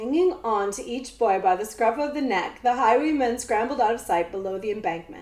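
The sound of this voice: Someone reads in an unforced reading voice.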